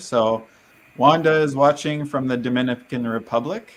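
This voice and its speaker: An unremarkable speaking voice from a man with a Canadian accent, at a moderate pace with ordinary pitch variation. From Canada. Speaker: livestream host, business owner. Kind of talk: livestream interview.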